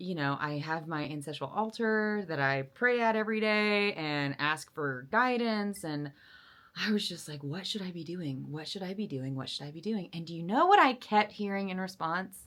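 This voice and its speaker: Delivered at a moderate pace, the voice sounds animated, with lively intonation and big swings in loudness. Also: woman, very clean recording, silent background. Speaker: vlogger. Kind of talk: casual monologue.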